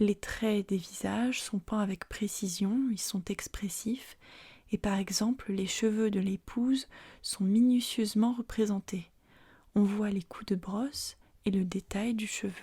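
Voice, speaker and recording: A soft-spoken voice talks at a very slow pace in a calm tone. The recording is very clean, with a silent background. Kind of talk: ASMR art-history narration, calm educational presentation. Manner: calm, soft-spoken.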